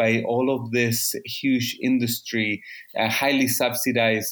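With a Spanish accent, a man of medium pitch speaks at a fairly slow pace. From Chile. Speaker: ocean policy expert. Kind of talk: casual interview. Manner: halting.

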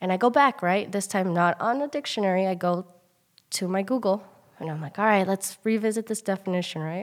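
At a fairly quick pace, a woman talks in an unremarkable speaking voice of medium pitch with ordinary pitch variation. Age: 20s. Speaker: elementary school teacher. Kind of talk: casual interview.

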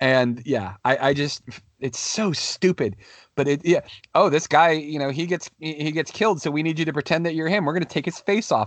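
A man speaks at a moderate pace in a fairly high pitch. His pitch variation is ordinary. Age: 30s. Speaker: podcast host. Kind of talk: casual chat. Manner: animated.

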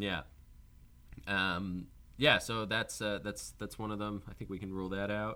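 Here a man with a fairly low pitch speaks in a bright, sharp tone at a moderate pace. His intonation is fairly even, with long, frequent pauses. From Newfoundland, Canada. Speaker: podcast host, filmmaker and comedian. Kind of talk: casual chat.

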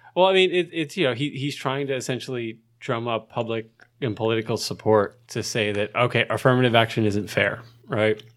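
A man talks at a fairly quick pace in a normal speaking voice with a medium pitch and ordinary pitch variation. The recording is very clean, with a silent background. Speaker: podcast co-host, graduate student. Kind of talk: casual chat.

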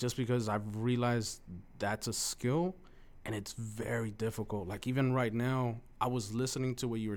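A man speaks at a moderate pace with medium pitch and fairly even intonation, recorded very cleanly against a silent background. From Mexico, raised in East Los Angeles. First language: Spanish. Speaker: former college speech competitor. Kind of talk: casual interview.

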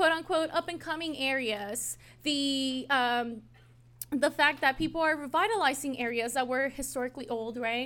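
In a raised, projected voice, a woman speaks at a moderate pace with a high pitch, a bright, sharp tone and lively intonation. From Ciudad Juarez, Mexico; moved to US in 2000. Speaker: history professor. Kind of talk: presentation to a live audience.

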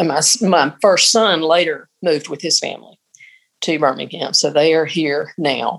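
In a Southern US accent, a woman talks at a moderate pace with a very deep, low pitch. Her pitch varies in an ordinary way. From Mississippi. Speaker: church choir member and retired piano teacher. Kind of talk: casual interview.

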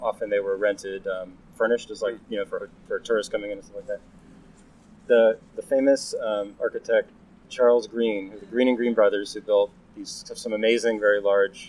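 His loudness rising and falling sharply, a man speaks at a fairly quick pace. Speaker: housing advocate and urban planner. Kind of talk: casual interview. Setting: outdoors at a train station courtyard. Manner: hesitant with fillers.

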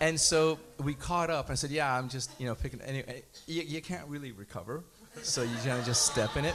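With a normal speaking voice, a man talks at a fairly quick pace in a fairly high pitch, with ordinary pitch variation. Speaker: congregant. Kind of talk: testimony.

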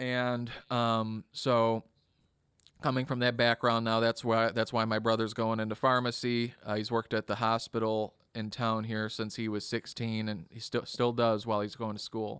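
In a very clean recording with a silent background and a dry, close sound with no echo, a man with an Upper Midwest accent talks at a medium pitch and moderate pace with monotone, flat intonation. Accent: Upper Midwest American. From US Midwest, Kenosha, Wisconsin. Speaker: drummer. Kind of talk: casual interview chat.

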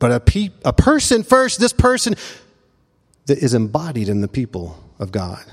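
A man speaks with a Memphis accent. The sound is dry and close, with no echo. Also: moderate pace. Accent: Southern US (Memphis). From US South, Memphis. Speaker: pastor. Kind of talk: sermon. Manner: halting.

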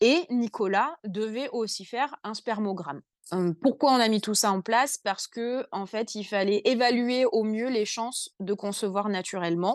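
In a plain, everyday voice, a woman speaks at a fairly slow pace and fairly high pitch, with ordinary pitch variation. The sound is dry and close with no echo, over a quiet background. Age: 30s. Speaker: young mother with endometriosis. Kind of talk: casual interview.

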